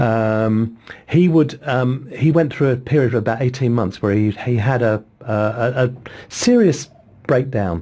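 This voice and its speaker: A man with an English accent talks at a moderate pace over noticeable background noise. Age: 60s. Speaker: psychotherapist. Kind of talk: interview.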